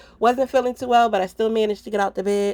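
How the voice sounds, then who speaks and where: A woman's dark, mellow voice with fairly even intonation. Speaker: home cook, lifestyle vlogger. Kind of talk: casual cooking vlog talk to camera.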